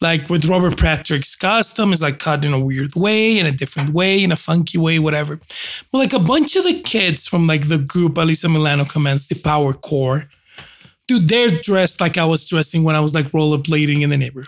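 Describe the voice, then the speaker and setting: In an unremarkable speaking voice, a man talks at a fairly quick pace. His pitch is fairly high and his loudness very even. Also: ordinary pitch variation. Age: 40s. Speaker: host's husband, guest. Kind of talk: casual chat.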